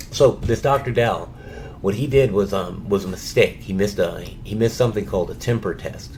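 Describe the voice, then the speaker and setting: A man at a fairly quick pace with lively intonation, over noticeable background noise. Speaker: cancer patient filing a complaint. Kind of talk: phone call, personal account. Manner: halting with many fillers and repetitions.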